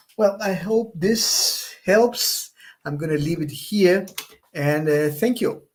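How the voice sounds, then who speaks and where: This man has a non-native accent and a high pitch. He talks at a very slow pace with ordinary pitch variation. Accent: non-native English, says it's rusty. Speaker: economics professor, panel speaker. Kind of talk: conference presentation. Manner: halting, with false starts.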